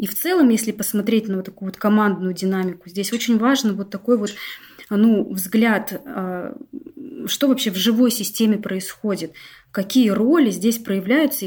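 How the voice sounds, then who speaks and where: A somewhat breathy woman at medium pitch and a moderate pace, with ordinary pitch variation and long, frequent pauses. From Russia, Novosibirsk. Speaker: business owner, team development expert. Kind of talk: interview on a live stream.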